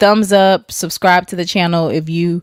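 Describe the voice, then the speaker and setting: Dry and close with no echo, the recording is very clean over a silent background. A woman speaks at a moderate pace and a fairly low pitch. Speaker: histotechnician and YouTube host. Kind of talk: casual livestream chat.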